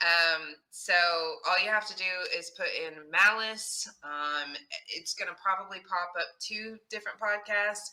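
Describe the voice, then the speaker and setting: With a slight Texas accent, the speaker talks at a fairly slow pace with ordinary pitch variation. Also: woman, medium pitch for a woman. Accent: slight Texas accent, barely noticeable. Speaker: true crime podcast host and actor. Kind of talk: casual interview chat. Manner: animated.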